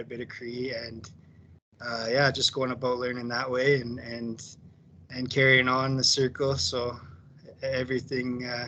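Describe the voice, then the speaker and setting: A man with a western Canadian accent speaks at a fairly slow pace with monotone, flat intonation and a medium pitch. Noticeable background noise is present. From Alberta, Canada. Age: 30s. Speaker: powwow dancer and company employee. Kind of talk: casual sharing circle talk. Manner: halting, many fillers.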